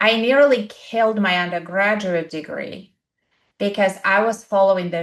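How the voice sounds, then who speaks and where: Speaking in an Eastern European accent, a woman keeps a medium pitch with ordinary pitch variation. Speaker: podcast co-host, coach. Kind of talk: casual chat. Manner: animated.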